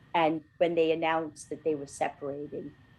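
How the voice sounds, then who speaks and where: A woman speaks in an ordinary speaking voice at a moderate pace. Her pitch is fairly low. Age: 60s. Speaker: podcast co-host. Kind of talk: casual chat.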